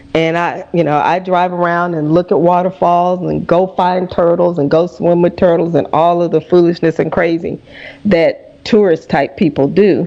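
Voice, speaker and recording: A woman with a Southern US accent talks at a moderate pace in a fairly low pitch. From US South. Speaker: radio host. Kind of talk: interview.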